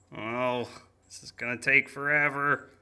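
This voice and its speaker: This cartoonish character voice sits at a low-to-middle pitch. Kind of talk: children's cooking cartoon. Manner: chatty, rhyming, mock-spooky instructions turning to whiny complaints.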